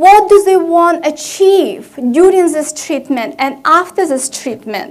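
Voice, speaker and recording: Audible room echo surrounds a woman with a Russian accent whose pitch is extremely high, with ordinary pitch variation. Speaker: family medicine physician. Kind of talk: conference presentation. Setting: conference stage with audience.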